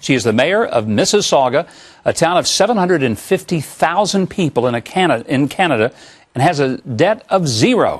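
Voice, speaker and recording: A man with fairly high pitch and vocal fry speaks at a fairly quick pace, his pitch swinging very widely while his loudness stays very even. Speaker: TV talk show host. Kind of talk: TV show introduction.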